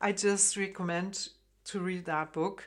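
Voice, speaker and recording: In a German accent, a woman speaks at a fairly slow pace with a medium pitch and ordinary pitch variation. The recording is very clean, with a silent background. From Germany, Frankfurt. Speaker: harp teacher. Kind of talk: tutorial. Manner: hesitant, many fillers.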